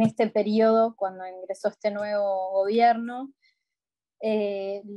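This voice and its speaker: The voice has a dark, mellow tone with a Rioplatense accent and monotone, flat intonation. It goes at a very slow pace in a dry, close sound with no echo. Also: woman. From Montevideo, Uruguay. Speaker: advocate for older people's rights. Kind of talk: interview answer. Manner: casual, conversational.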